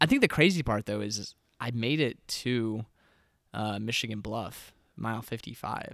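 In a very clean recording with a silent background, a man talks at a moderate pace in an ordinary speaking voice, his medium pitch showing ordinary variation. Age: 20s. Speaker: ultramarathon runner, podcast co-host. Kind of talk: casual chat.

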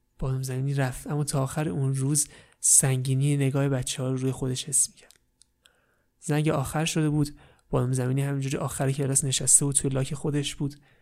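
A soft-spoken man with a fairly high pitch talks in a monotone, flat intonation with big swings in loudness, on a very clean recording with a silent background. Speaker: storyteller. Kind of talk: parody bedtime story narration. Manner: velvety soft tone.

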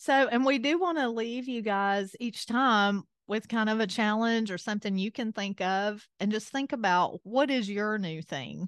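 Against a quiet background, a woman with an Appalachian accent and a fairly high voice speaks at a moderate pace with hardly any pauses, in a dry, close sound with no echo. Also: ordinary pitch variation. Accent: Southern US (Appalachian). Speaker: podcast host. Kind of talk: casual chat.

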